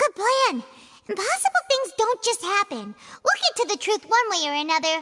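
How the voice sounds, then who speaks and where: Here is a put-on character voice with an extremely high, squeaky pitch. The pace is moderate. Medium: video game.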